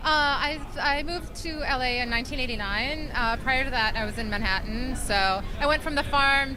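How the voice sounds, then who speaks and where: Speech at a moderate pace with a Minnesota accent, audible room echo and music in the background. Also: woman. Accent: Upper Midwest (Minnesota) American. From Minnesota, rural. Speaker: fashion designer. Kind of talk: interview. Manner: hesitant, many fillers.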